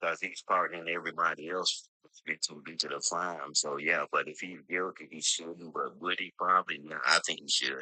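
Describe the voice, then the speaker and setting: A man with an American accent speaks at a very deep, low pitch and a moderate pace, his bright, sharp tone flat and monotone, with big swings in loudness and hardly any pauses. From Georgia, US South. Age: 60s. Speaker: panel participant. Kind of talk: casual debate on live stream. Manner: halting, many fillers.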